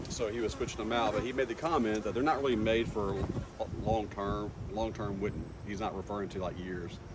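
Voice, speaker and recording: A man with a fairly low pitch and ordinary pitch variation speaks at a fairly quick pace, with audible room echo and noticeable background noise. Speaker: beekeeper vlogger. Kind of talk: casual vlog talk. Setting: outdoors. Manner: fast; hesitant with fillers.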